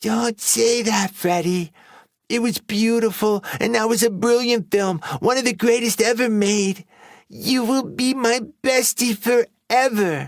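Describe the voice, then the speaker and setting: In a very clean recording with a silent background, a put-on character voice, squeaky and fairly high in pitch, moves at a fairly slow pace. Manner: warm, earnest.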